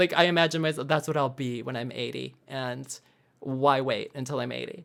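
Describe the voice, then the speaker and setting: With an American accent, a woman talks at a fairly quick pace in a very deep, low pitch, showing vocal fry and fairly even intonation. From US Midwest, Wisconsin. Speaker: actor and comedian. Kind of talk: podcast interview.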